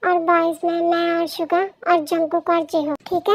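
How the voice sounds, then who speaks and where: A put-on character voice, squeaky and extremely high in pitch, speaks at a moderate pace. Its intonation is monotone and flat. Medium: fan dub. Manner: earnest, cautious.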